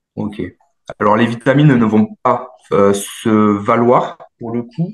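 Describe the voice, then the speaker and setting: Very slowly, a man speaks at a medium pitch. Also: ordinary pitch variation. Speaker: dietitian nutritionist and sports coach. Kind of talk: workshop Q&A answer.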